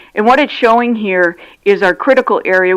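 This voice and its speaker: Ordinary pitch variation at a moderate pace from a plain, everyday voice. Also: woman. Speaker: regional water system representative. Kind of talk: public comment presentation. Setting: county commission meeting.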